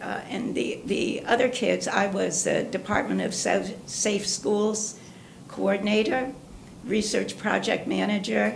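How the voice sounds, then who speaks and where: A woman's fairly slow speech amid noticeable background noise and audible room echo. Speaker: resident giving public comment. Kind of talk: public comment at council meeting.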